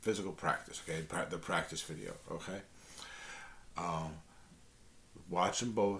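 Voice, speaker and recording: In a room with audible echo, a man with an American accent speaks with ordinary pitch variation. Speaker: guitar teacher, channel host. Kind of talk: tutorial talk to camera. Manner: halting, many fillers and restarts; casual, friendly.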